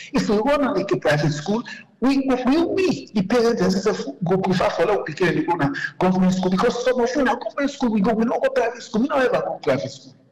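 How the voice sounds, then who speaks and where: A man with a Sierra Leonean accent at an extremely high pitch and a very fast pace, with very wide pitch swings and noticeable background noise. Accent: Sierra Leonean Krio-inflected English. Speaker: caller. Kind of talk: call-in commentary.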